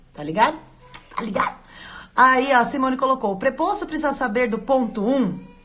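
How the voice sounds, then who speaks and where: The voice has an animated tone. Noticeable background noise is present. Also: woman. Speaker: lawyer running a court correspondent service. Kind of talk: live stream talk to viewers. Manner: fast.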